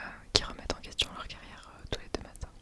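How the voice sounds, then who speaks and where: A woman is whispering. Noticeable background noise sits behind her. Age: 30s. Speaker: mother of two young children. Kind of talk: ASMR talk to camera. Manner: whispered.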